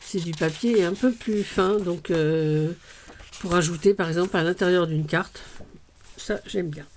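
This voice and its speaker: This is a woman speaking. Her pitch is medium. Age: 60s. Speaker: crafting vlogger. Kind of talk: casual haul video. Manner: hesitant, many fillers.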